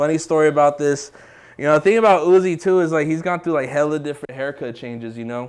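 A man speaks here, his pitch varying in an ordinary way. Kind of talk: casual tour commentary. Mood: relaxed, proud. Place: office.

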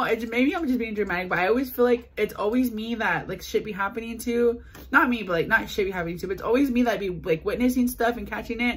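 A woman at a very fast pace with ordinary pitch variation. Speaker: vlogger. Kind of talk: casual vlog chat. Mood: frustrated, venting. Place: home room. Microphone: phone near.

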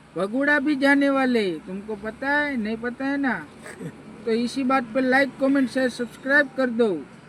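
Against noticeable background noise, a man speaks at an extremely high pitch with fairly even intonation. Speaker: vlogger. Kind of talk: travel vlog. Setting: in a car. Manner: casual, chatty.

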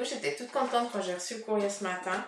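Room echo is audible as a woman talks. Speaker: card reader. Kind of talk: casual vlog chat. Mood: happy, laughing. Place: office.

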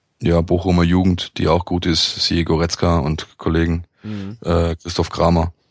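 In a dry, close sound with no echo, a man with a very deep, low pitch talks at a moderate pace with hardly any pauses and monotone, flat intonation. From Stuttgart area, Germany. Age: 30s. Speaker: sports journalist. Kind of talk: casual chat.

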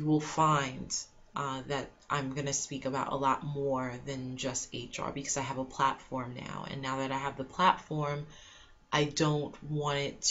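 In a flat monotone, a woman with a very deep, low pitch speaks at a fairly slow pace. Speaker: HR blogger. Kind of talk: casual vlog chat. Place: home room. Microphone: webcam.

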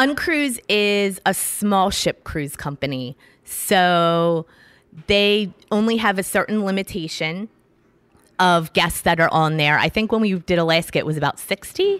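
The recording is very clean, with a silent background and a dry, close sound with no echo. A woman with an unremarkable speaking voice talks fairly slowly at a medium pitch, with lively intonation. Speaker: travel blogger. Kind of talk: casual interview. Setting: breakfast nook at a hotel.

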